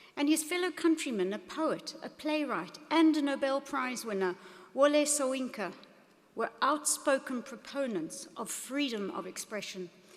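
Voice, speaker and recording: Against noticeable background noise, a woman with a high pitch speaks passionately at a fairly slow pace, her intonation lively. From South Africa. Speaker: business executive and keynote speaker. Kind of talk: commencement speech. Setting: stage with audience at graduation ceremony. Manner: passionate, formal.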